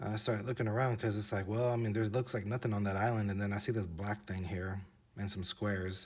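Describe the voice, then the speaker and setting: A man's fairly low, monotone, flat voice at a fairly quick pace. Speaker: video creator narrating map flyovers. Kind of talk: casual video narration. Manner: hesitant, many fillers.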